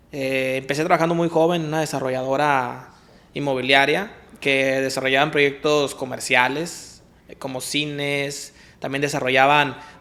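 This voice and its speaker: With audible room echo, a man talks at a moderate pace in a fairly high, monotone, flat voice. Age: 20s. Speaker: architect and real estate developer. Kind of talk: interview. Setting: office.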